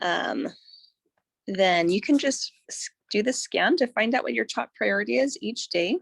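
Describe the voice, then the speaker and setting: In a very clean recording with a silent background and a dry, close sound with no echo, a woman speaks at a fairly slow pace. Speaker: wellness device tutorial presenter. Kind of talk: tutorial. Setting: live broadcast with screen share. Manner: hesitant, many fillers.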